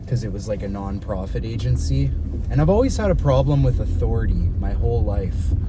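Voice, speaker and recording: A man speaks at a fairly quick pace in a very deep, low voice with very wide pitch swings, with noticeable background noise and audible room echo. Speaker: fitness coach. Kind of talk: casual vlog monologue. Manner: conversational, rambling pace.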